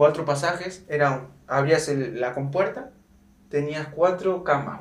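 With audible room echo, a man speaks at a fairly slow pace in a fairly high pitch, his pitch varying in an ordinary way and his loudness swinging widely. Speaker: football player. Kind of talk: casual chat.

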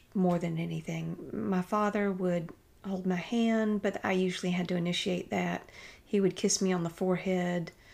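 In a very clean recording with a silent background, a woman talks at a fairly slow pace. She has a normal speaking voice at a medium pitch. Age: 50s. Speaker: paralegal and cashier. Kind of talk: casual chat.

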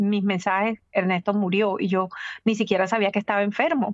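Using an unremarkable speaking voice, a woman talks at a moderate pace with fairly even intonation. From Caribbean coast of Colombia. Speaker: journalist and entrepreneur. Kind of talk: interview.

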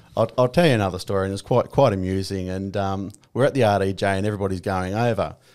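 In a strong Australian accent, the speaker races along at a very fast pace with hardly any pauses and fairly even intonation. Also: man, fairly low pitch for a man. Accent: broad Australian. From rural Victoria, Australia. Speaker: army veteran turned real estate agent. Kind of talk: casual interview chat.

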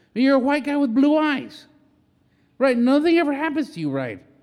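In an American accent, a man with an extremely high pitch talks at a moderate pace in an animated tone, with audible room echo. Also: long, frequent pauses. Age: 40s. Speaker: podcast host. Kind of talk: casual chat. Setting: rural ranch location.

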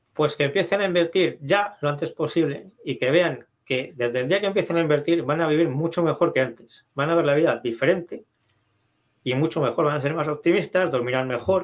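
Speaking at a fairly quick pace, a man uses a plain, everyday voice pitched fairly high. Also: ordinary pitch variation. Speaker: investment author. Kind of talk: interview.

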